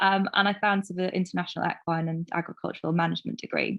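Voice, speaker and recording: Fairly low in pitch, a woman speaks at a fairly quick pace with fairly even intonation. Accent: Welsh. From Wales, Carmarthenshire. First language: Welsh. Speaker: farm business consultant. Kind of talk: interview.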